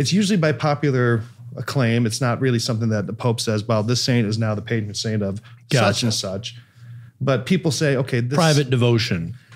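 Talking at a fairly quick pace with ordinary pitch variation, a man is heard against a quiet background. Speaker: priest podcast host. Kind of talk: podcast explanation. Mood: light, joking then explaining. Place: studio. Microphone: studio mic.

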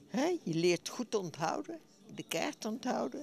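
Speaking at a very slow pace, a woman swings her pitch very widely, in a dry sound with no echo and light background noise. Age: 80s+. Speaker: bridge player. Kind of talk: interview answer. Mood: cheerful, pleased. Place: hall. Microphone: handheld.

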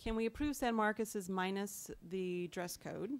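A woman speaks at a medium pitch in an unremarkable speaking voice. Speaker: school board president chairing meeting. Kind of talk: public meeting proceedings.

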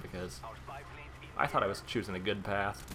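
A man with a fairly low pitch speaks at a fairly quick pace in a monotone, flat intonation. Noticeable background noise runs underneath. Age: 30s. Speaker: gaming YouTuber. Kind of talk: gameplay commentary. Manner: casual, conversational.

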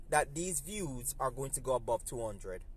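Dry sound with no echo captures a man speaking at a moderate pace. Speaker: vlogger. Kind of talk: casual vlog chat, opinion commentary. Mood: critical, somewhat frustrated. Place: car. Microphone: phone near.

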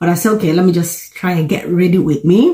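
Somewhat breathy and fairly low-pitched, a woman speaks in a dark, mellow tone over a quiet background. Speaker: vlogger. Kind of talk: casual vlog chat. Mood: cheerful, chatty. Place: home room. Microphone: phone near.

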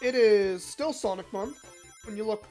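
Medium pitch from a woman, set against background music. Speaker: video game streamer. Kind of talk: live gameplay stream chat. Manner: casual, filler-heavy.

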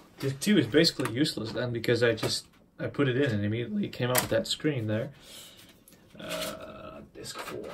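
A man speaks at a fairly quick pace with lively intonation. Noticeable background noise sits behind him. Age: 20s. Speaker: tech youtuber. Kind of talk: tutorial. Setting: home workbench with camera on tripod. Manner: casual, hesitant with fillers. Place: home room. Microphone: phone near.

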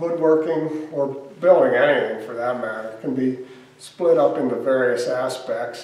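There is audible room echo around the voice. A man speaks with fairly even intonation. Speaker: museum volunteer guide. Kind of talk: tutorial. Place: workshop.

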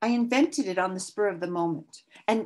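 The clip is plain reading aloud, with ordinary pitch variation.

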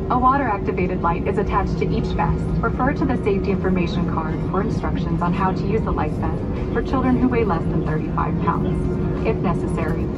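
Loud music plays in the background. The speech is fairly quick, with hardly any pauses. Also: woman. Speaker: safety video narrator. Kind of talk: recorded safety announcement. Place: plane.

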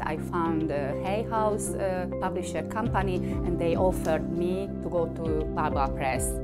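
A woman with a non-native accent speaks at a fairly slow pace. Loud music plays in the background. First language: not English. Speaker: author. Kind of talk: interview answer. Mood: warm, proud. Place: home room.

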